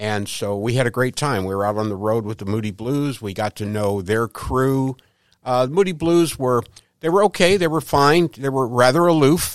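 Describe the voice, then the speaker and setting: An unremarkable speaking voice from a man of medium pitch, at a moderate pace with lively intonation, on a very clean recording with a silent background. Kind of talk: interview. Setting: studio.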